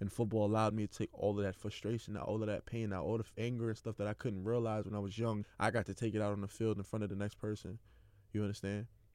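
A man with a New York accent talks at a very fast pace in a fairly low pitch, his intonation monotone and flat. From New York City (Queens). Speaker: athlete podcaster. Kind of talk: personal monologue.

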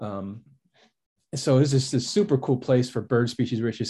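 With an American accent, a man speaks at a fairly quick pace in a plain, everyday voice of medium pitch. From US Midwest, suburbs of Chicago. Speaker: naturalist and biologist. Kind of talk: casual interview.

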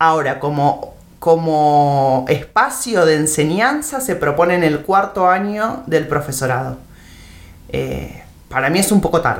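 With an Argentine accent, a woman talks at a fairly slow pace in a very deep, low voice with lively intonation, and the room echo is audible. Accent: Rioplatense Argentine Spanish. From Argentina, Buenos Aires province (Temperley). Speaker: teacher trainer. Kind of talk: interview. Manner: halting, with many repeated words and fillers.

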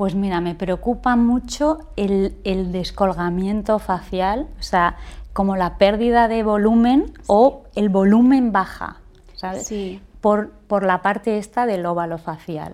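A woman speaks at a very slow pace, her medium pitch rising and falling in an ordinary way. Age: 50s. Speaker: industrial engineer. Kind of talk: casual interview.

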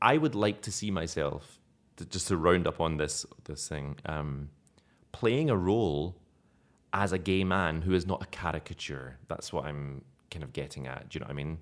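A man with a slight Scottish accent talks in an animated tone at a moderate pace, with big swings in loudness. The recording is very clean, with a silent background. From Scotland. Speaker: actor. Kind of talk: casual interview chat. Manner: animated, humorous.

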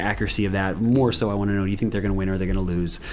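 A man talks in a very deep, low voice with fairly even intonation. Noticeable background noise runs behind him. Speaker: sports podcast host. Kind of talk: casual chat. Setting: in person, same room.

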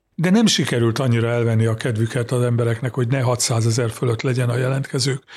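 A somewhat breathy, medium-pitched man's voice on a very clean recording with a silent background. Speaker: journalist, Poland expert. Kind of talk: interview on politics. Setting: studio.

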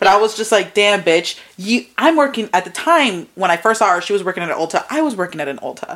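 A woman with an American accent at a medium pitch, very fast and animated, with very wide pitch swings and hardly any pauses, amid noticeable background noise. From New Jersey. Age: 20s. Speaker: podcast co-host. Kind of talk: casual chat. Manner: animated, frequent laughter.

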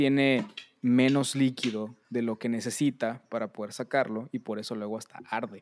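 The sound is dry and close with no echo as a man speaks at a moderate pace. His medium-pitched voice stays monotone and flat. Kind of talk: casual chat.

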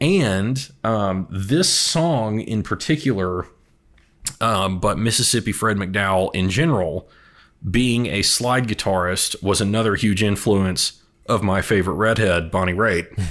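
A man with an American accent speaks in a plain, everyday voice, fairly low in pitch, with ordinary pitch variation and very even loudness. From Texas. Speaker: music enthusiast guest. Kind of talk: casual chat.

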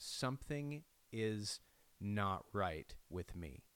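Fairly low in pitch, a man speaks with lively intonation. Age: 30s. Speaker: podcast host. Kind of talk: solo reflective monologue. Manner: halting.

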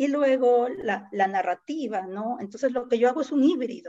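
This woman has a plain, everyday voice at a fairly high pitch. She speaks at a fairly slow pace with ordinary pitch variation. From Peru, Lima (San Juan de Miraflores). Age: 50s. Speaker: poet. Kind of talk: casual chat.

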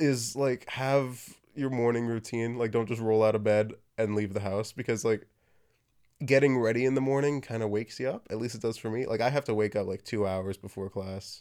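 A man with an ordinary speaking voice at a fairly quick pace, on a very clean recording with a silent background. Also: medium pitch for a man. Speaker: podcast host, prop maker. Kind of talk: casual chat. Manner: casual, chatty.

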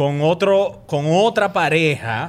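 A man uses a normal speaking voice with lively intonation and a fairly high pitch. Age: 30s. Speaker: actor and comedy podcaster. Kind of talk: casual chat.

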